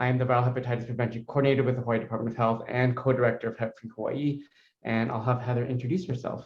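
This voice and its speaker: Speaking very fast in a flat monotone, a man with a medium-pitched, somewhat breathy voice. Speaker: public health coordinator. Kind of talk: conference presentation.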